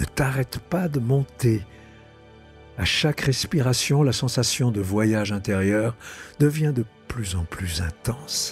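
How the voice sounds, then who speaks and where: Against background music, a man with a medium pitch and a soothing tone speaks at a very slow pace, his pitch swinging very widely. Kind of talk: guided meditation. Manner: slow, soothing.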